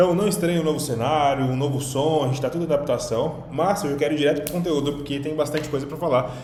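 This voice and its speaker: A man speaks with a Brazilian accent. Audible room echo and noticeable background noise surround him. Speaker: online business coach. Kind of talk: online lesson. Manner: fast.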